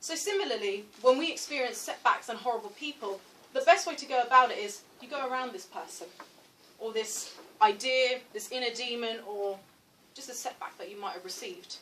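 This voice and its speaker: With a British accent, a woman speaks at a fairly quick pace and a high pitch, her intonation lively and her loudness swinging widely. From London, England. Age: 20s. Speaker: writer giving a career talk. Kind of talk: motivational talk.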